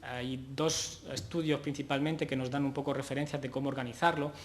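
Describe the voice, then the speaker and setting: Audible room echo surrounds a man with a fairly high pitch. He talks at a fairly quick pace with fairly even intonation. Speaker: physiotherapist, conference speaker. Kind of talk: conference talk. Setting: conference stage with audience. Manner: hesitant, many fillers.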